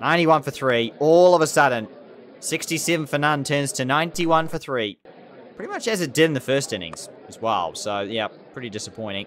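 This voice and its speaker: A man's fairly high voice with lively intonation at a fairly quick pace. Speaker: gaming YouTuber. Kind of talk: gameplay commentary. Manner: animated.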